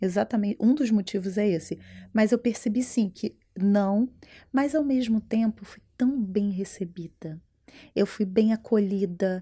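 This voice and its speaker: Over a silent background in a very clean recording, a woman speaks at medium pitch with a dark, mellow tone. Her pace is fairly slow, her pitch varies in an ordinary way, and her loudness swings widely. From Brazil. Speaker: entrepreneur and brand mentor. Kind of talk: interview conversation. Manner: animated.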